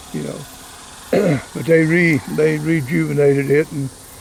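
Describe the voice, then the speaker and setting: A man talks in a fairly high pitch with an American accent. Background noise is noticeable. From Oklahoma Panhandle. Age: 80s+. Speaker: local elder giving a town tour. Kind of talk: casual interview. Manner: halting, repetitive.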